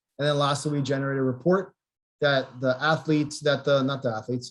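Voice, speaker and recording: A man's fairly high, somewhat breathy voice, fairly quick in pace and monotone, with flat intonation. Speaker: physical therapy researcher. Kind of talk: webinar lecture. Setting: video call. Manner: fast.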